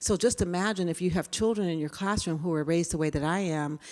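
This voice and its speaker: On a very clean recording with a silent background, a woman speaks at a fairly low pitch with ordinary pitch variation and an American accent. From California. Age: 60s. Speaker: diversity trainer. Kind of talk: lecture.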